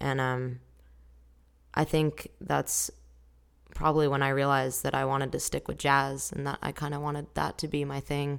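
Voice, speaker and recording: A woman with an American accent speaks at a moderate pace, her pitch very deep and low. Her intonation is monotone and flat, on a very clean recording with a silent background. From Southern California. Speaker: singer. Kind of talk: interview.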